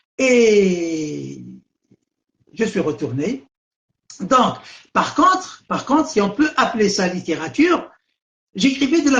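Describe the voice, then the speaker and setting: Pitched high, a man speaks at a very slow pace with very wide pitch swings and long, frequent pauses. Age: 70s. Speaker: writer. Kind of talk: interview. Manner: halting, with many repetitions.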